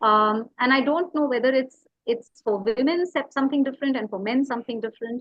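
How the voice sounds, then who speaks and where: Fairly quick delivery from a woman, her voice pitched high, the pitch moving in an ordinary way. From India, Tamil Nadu. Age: 40s. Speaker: writer and educator. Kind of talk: interview conversation. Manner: hesitant, many fillers.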